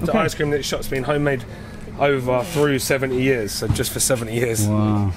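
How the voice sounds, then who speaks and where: At a moderate pace and medium pitch, a man talks with ordinary pitch variation over noticeable background noise. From UK. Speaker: food guide. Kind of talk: casual chat. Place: street. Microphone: camera far.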